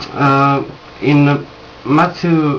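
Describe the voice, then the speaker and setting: A fairly high-pitched man's voice with a non-native accent, noticeable noise behind it. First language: not English. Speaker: religious video maker. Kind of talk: scripture commentary reading from notes. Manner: halting, many fillers.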